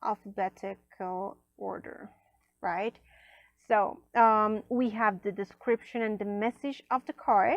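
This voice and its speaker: Against a quiet background, a woman with a non-native accent talks at a very slow pace in a fairly high pitch, her intonation fairly even and the sound dry and close with no echo. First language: not English. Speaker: tarot and oracle card reviewer. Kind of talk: unboxing review. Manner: casual, many fillers.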